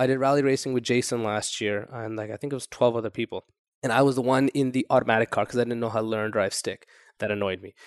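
With a Toronto accent, a man talks at a very fast pace and medium pitch with fairly even intonation, recorded dry and close with no echo against a quiet background. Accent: Toronto, drops the second T. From grew up moving between Saudi Arabia, Japan and the US. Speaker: entrepreneur. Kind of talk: interview. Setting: in person in Toronto. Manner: casual.

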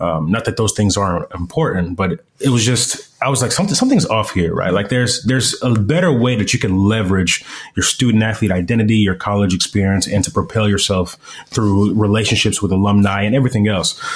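A man talks at a fairly quick pace with fairly low pitch and a somewhat breathy sound. His loudness stays very even, with ordinary pitch variation. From DR Congo, then South Africa. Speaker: former NFL player engagement coordinator, author and speaker. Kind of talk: casual interview.

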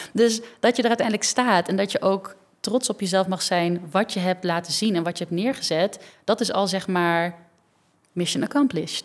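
On a very clean recording with a silent background, a woman uses a normal speaking voice, her medium pitch showing ordinary variation at a moderate speed. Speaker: dancer and choreographer. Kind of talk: casual interview.

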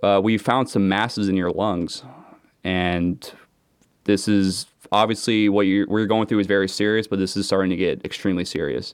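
A man with an American accent has an unremarkable speaking voice and a fairly low pitch. He keeps a moderate pace and fairly even intonation against a quiet background. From Seattle, US Pacific Northwest. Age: 30s. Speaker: student and former commercial diver. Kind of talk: casual chat.

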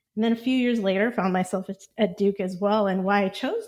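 A woman speaks at a fairly quick pace with an American accent, using a normal speaking voice. Her pitch is medium with fairly even intonation, on a very clean recording with a silent background. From Texas, Houston area. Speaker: startup CEO. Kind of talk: interview.

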